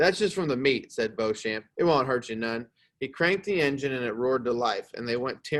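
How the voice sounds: Against a quiet background, a natural reading voice carries lively intonation.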